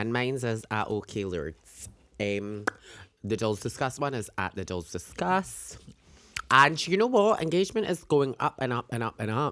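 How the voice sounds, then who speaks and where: Animated and in a British accent, a woman speaks at a moderate pace with a very deep, low pitch that swings very widely. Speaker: podcast co-host. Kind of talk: casual chat. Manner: animated, camp, joking.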